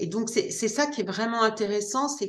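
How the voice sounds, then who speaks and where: There is audible room echo as a woman speaks at medium pitch. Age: 50s. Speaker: gardening author. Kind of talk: interview. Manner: hesitant, many fillers and repetitions.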